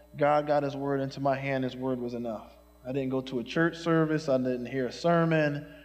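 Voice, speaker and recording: Speaking with an American accent at a fairly quick pace, the voice keeps a fairly even intonation over noticeable background noise and audible room echo. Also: man, fairly high pitch for a man. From Philadelphia, North Philadelphia. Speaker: pastor. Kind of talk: sermon. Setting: church.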